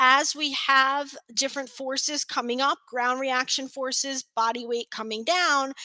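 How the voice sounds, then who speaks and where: Speaking in a raised, projected voice with an American accent, a woman talks at a moderate pace and high pitch, the sound dry and close with no echo. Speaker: continuing education presenter, physical therapy. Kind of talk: lecture. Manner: hesitant fillers.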